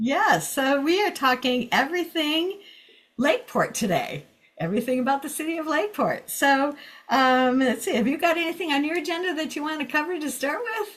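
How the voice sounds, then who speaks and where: A woman's high voice with lively intonation at a fairly quick pace. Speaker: radio host. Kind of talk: radio interview. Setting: studio. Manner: fast.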